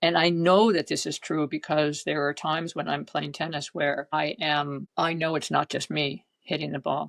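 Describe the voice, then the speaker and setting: A woman with an American accent, very deep and low in pitch, with vocal fry, fairly even intonation, a moderate pace and hardly any pauses, in a dry, close sound with no echo. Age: 70s. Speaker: former pro tennis player and coach. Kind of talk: interview conversation.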